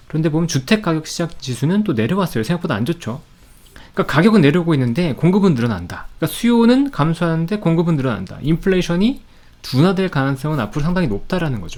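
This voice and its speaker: Very wide pitch swings mark this man's high-pitched voice as he talks at a very fast pace. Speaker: stock market commentator. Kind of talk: market commentary. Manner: conversational, with fillers.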